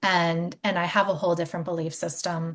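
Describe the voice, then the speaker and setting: The background is quiet. The intonation stays monotone and flat. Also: woman. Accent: American. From US Mid-Atlantic, Maryland near DC. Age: 40s. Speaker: podcast host. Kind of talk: interview, personal storytelling.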